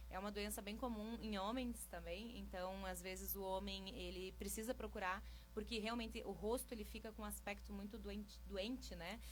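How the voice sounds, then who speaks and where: A woman speaks at a moderate pace with hardly any pauses. Audible room echo surrounds her voice. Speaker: micropigmentation specialist. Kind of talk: radio interview.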